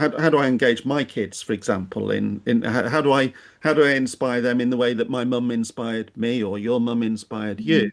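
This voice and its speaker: Speaking at a fairly quick pace with hardly any pauses, a man uses a medium pitch and ordinary pitch variation. The background is quiet. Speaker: podcast host. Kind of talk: podcast interview questions. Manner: hesitant, conversational.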